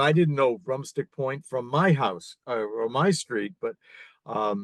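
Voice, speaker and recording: A man speaks at a very slow pace with lively intonation and a medium pitch. The sound is dry and close, with no echo. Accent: American. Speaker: former rock band singer. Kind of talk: casual chat. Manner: hesitant, many fillers.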